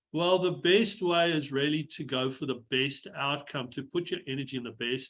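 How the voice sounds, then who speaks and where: With a South African accent, a man speaks at a fairly slow pace with ordinary pitch variation. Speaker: engineer and mental health speaker. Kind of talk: webinar talk.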